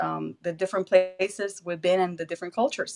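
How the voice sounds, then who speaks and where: A woman with a Spanish accent speaks at a fairly quick pace in a medium pitch, her intonation fairly even. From Puerto Rico. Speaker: school principal. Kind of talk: interview.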